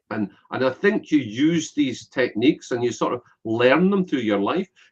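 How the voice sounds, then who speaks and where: With a Scottish accent, a man talks at a medium pitch with lively intonation. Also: moderate pace. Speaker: business networker and connector. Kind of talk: interview.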